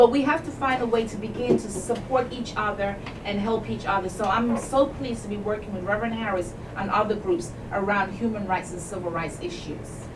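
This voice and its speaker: A woman's medium-pitched voice at a fairly quick pace, with ordinary pitch variation, audible room echo, and noticeable background noise. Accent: Jamaican. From England. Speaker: civil rights advocate, academic. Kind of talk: radio interview. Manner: emphatic, exhorting.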